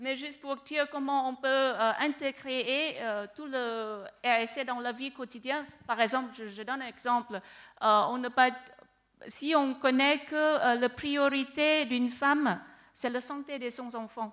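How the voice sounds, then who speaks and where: This woman has a high pitch and a non-native accent, with fairly even intonation. Her loudness swings a lot. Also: fairly slow pace. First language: not French (speaking French). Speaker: researcher. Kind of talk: panel discussion. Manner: halting.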